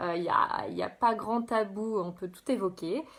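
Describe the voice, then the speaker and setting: A woman is talking. Her intonation shifts in an ordinary way. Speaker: life coach. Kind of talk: live stream presentation. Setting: live video stream. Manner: halting.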